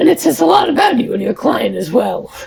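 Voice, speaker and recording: With a fairly quick pace, a raspy put-on character voice speaks at a fairly high pitch. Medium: game stream. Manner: warm, composed.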